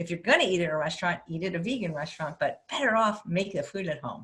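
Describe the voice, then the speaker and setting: The voice moves at a very fast pace and is somewhat breathy. Its pitch varies an ordinary amount. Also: woman. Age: 60s. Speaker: plant-based chef. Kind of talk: interview.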